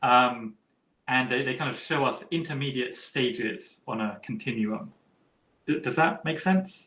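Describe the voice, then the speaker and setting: Bright, sharp tone with lively intonation at a fairly slow pace. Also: man, fairly high pitch for a man. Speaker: philosopher. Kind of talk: academic Q&A.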